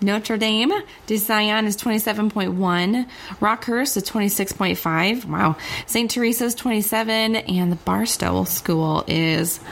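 A woman at a very slow pace, with very even loudness and ordinary pitch variation, against noticeable background noise. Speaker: podcast co-host.

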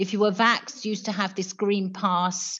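The speaker sounds somewhat breathy, with fairly even intonation. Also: woman, quiet background. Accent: British. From UK. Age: 50s. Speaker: primary school teacher. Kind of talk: radio phone-in call. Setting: phone call.

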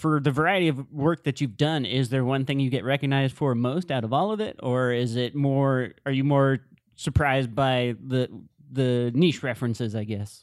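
This man uses a normal speaking voice, pitched medium. Ordinary pitch variation accompanies his moderate pace. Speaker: podcast co-host. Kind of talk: casual interview.

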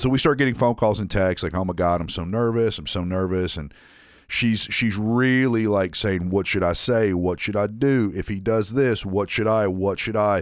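A man talks in a fairly low pitch with ordinary pitch variation. He has a slight Southern accent. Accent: slight southern drawl. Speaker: podcast co-host. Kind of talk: casual chat.

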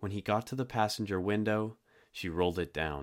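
A man at a fairly quick pace, a plain, everyday voice. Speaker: true crime podcaster. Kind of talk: true-crime narration. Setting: online podcast and video. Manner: grave, measured storytelling with suspenseful build.

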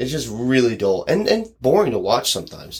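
Using vocal fry and very wide pitch swings, a man with an American accent talks at a moderate pace. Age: 20s. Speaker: podcast host. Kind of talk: casual chat.

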